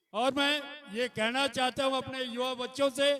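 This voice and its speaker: A man's raised, projected voice, extremely high in pitch, with fairly even intonation. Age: 70s. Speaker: community leader. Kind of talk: public speech. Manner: formal.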